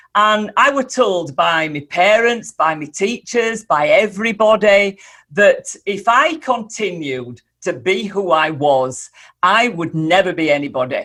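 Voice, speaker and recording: In a Yorkshire accent, a woman speaks at a fairly slow pace with a bright, sharp tone and very wide pitch swings. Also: medium pitch for a woman. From Yorkshire, northern England (Holmfirth). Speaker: speaker and mentor. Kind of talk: interview. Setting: podcast.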